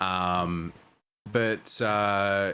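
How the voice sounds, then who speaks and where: The speaker is a man with a fairly low pitch. He talks in an Australian accent. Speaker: podcast host and streamer, army veteran. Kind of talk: casual chat. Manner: hesitant, many fillers.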